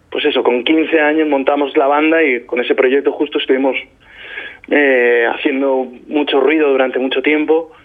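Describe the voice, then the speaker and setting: With noticeable background noise, a man speaks at a moderate pace in a fairly high pitch with monotone, flat intonation. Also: very even loudness. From Spain, Albacete. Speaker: singer-songwriter. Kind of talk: interview. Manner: halting, many repetitions.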